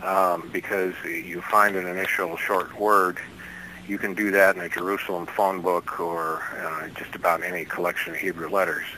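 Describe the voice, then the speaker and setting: In a very deep, low voice, a man speaks at a moderate pace with monotone, flat intonation over noticeable background noise. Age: 60s. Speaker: bible code researcher and author. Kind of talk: radio interview. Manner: halting, many fillers.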